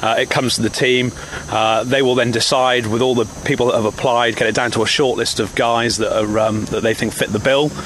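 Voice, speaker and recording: Noticeable background noise sits behind a man with a medium pitch. He talks fairly quickly in a monotone, flat intonation at very even loudness. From South Wales. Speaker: military display pilot. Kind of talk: interview.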